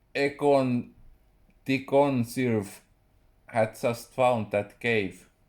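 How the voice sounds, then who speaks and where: With a Finnish accent, a man speaks at a very slow pace in fairly even intonation, leaving long, frequent pauses. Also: medium pitch for a man. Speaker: writer. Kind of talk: reading aloud. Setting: live stream.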